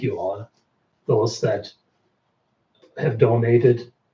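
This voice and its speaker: A man's dark, mellow, somewhat breathy medium-pitched voice at a very slow pace. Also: long, frequent pauses. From Germany. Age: 60s. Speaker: researcher. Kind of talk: live stream Q&A.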